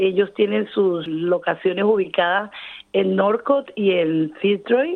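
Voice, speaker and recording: At a very slow pace and very even loudness, a woman speaks at a medium pitch with ordinary pitch variation. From Colombia, Caribbean coast (Cartagena). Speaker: cook and small business owner. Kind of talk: interview. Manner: laughs often.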